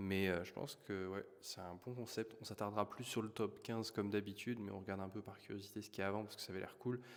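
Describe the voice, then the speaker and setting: Soft-spoken and fairly low-pitched, a man talks very fast in a flat monotone. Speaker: YouTube trends commentator. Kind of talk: casual vlog commentary. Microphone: poor sound quality.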